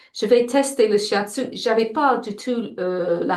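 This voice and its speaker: A woman's voice with an English accent, fairly high in pitch, with ordinary pitch variation, a very slow pace and audible room echo. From England. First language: English (speaking French). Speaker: shiatsu practitioner and teacher. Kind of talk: interview. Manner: halting, frequent self-repetitions.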